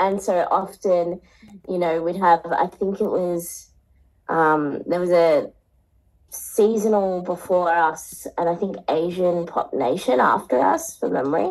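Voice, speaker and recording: A woman with an Australian accent talks at a fairly slow pace. Her pitch is fairly low, with ordinary variation. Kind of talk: interview conversation. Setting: radio studio. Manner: halting.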